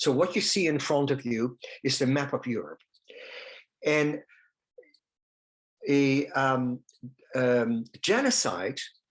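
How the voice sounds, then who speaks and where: Speaking at a fairly slow pace with a Dutch accent, a man keeps a medium pitch and ordinary pitch variation. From Netherlands. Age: 70s. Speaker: holocaust survivor speaker. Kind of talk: testimony. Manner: halting.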